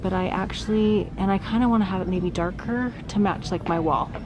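Music plays in the background as a woman speaks at a fairly quick pace with fairly even intonation. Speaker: home vlogger. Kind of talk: casual vlog chat. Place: shop. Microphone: phone near.

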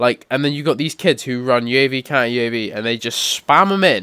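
The voice has a bright, sharp tone. It moves at a fairly quick pace with ordinary pitch variation. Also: man. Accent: British. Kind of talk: gaming commentary. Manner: casual, rambling.

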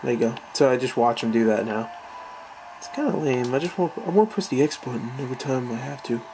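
The delivery is very fast, with noticeable noise in the background. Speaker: gaming youtuber. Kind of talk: let's play commentary. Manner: casual, profane. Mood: mildly annoyed, casual. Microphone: phone near.

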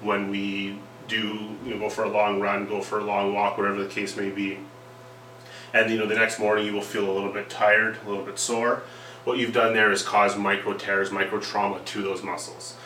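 A man's fairly low voice at a fairly quick pace, monotone and flat, with light background noise and audible room echo. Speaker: workplace safety trainer. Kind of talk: lecture. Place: meeting room. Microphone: camera far.

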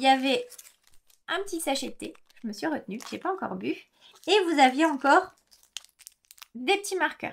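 At a moderate pace, a woman with a high voice and lively intonation leaves long, frequent pauses while her loudness swings widely. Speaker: knitting podcaster. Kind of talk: casual monologue. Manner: hesitant, many filler words. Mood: warm, enthusiastic. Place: home room.

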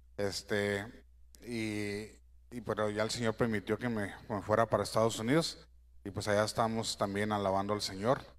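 In a fairly low pitch, a man speaks with monotone, flat intonation at a moderate pace. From Mexico, Sinaloa (Guamúchil); Sinaloa. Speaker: church musician. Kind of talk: church greeting. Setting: church. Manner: halting. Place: church.

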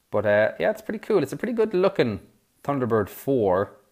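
At a moderate pace, a man talks with an Irish accent. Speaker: toy review YouTuber. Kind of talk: product review. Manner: hesitant, many fillers.

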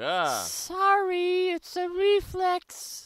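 This is a female-sounding, cartoonish character voice. The pitch is extremely high. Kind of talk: deadpan comic cartoon acting. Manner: terse, flat, deadpan.

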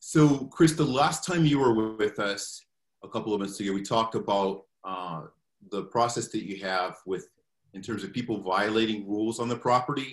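The background stays quiet as this man talks at a moderate pace. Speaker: meeting moderator. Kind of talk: moderated community meeting questions. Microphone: video call.

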